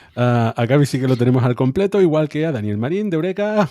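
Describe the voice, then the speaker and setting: In a very clean recording with a silent background, a man with a dark, mellow tone talks at a fairly quick pace with very wide pitch swings. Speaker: science podcast host. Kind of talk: casual chat.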